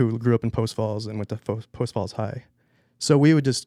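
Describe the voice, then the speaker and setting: The speech comes at a fairly quick pace with a dark, mellow tone and fairly even intonation, on a very clean recording with a silent background. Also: man, dry, close sound with no echo. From California, Central Valley (Visalia/Fresno area). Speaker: snowboard photographer. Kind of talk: casual interview chat. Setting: podcast studio.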